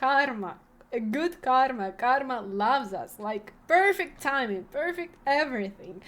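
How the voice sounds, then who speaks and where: A woman's voice swings very widely in pitch. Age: 20s. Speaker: vlogger and streamer. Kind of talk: casual vlog storytelling. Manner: halting, many fillers.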